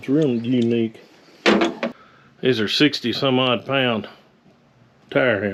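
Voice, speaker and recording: With a strong Southern accent, a man speaks at a medium pitch and a fairly slow pace, his intonation fairly even and broken by long, frequent pauses. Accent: strong local Southern dialect. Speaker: blacksmithing YouTuber. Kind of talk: casual vlog talk.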